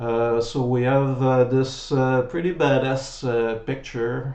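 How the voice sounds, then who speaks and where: Speaking very slowly with a French accent, a man is heard through audible room echo and noticeable background noise. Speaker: website founder. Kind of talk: tutorial. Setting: webcam recording at home. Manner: halting.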